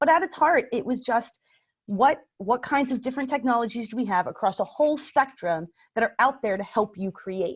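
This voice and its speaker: Very fast, lively talk from a woman with a high-pitched voice, over a quiet background. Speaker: library makerspace coordinator, former teacher. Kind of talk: webinar presentation.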